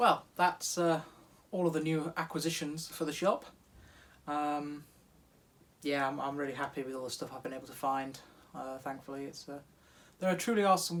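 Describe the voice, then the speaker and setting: With a British accent, a man speaks at a fairly quick pace and fairly high pitch with fairly even intonation and long, frequent pauses. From UK. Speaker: hobby machinist YouTuber. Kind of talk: casual workshop vlog. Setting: home garage workshop.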